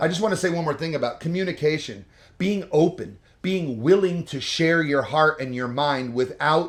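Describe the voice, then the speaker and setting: A man's fairly high, animated voice at a moderate pace with ordinary pitch variation. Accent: New Jersey. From New Jersey. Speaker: couples vlogger. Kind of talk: casual advice chat.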